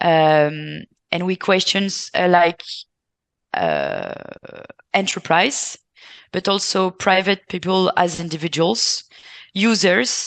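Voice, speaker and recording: Speech comes at a very slow pace with long, frequent pauses, in a dry, close sound with no echo. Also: woman, medium pitch for a woman, fairly even intonation. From France. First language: French. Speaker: care sector representative. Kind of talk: panel discussion. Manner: halting, many fillers.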